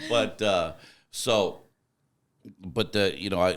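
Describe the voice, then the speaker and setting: A man's fairly slow speech with vocal fry, on a very clean recording with a silent background. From Arizona. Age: 50s. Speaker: truck driver. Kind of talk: casual chat. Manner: loud.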